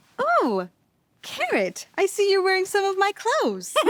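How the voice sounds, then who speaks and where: A woman's put-on, squeaky character voice, extremely high in pitch, with lively intonation, a moderate pace and very even loudness. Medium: cartoon. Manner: warm, calm.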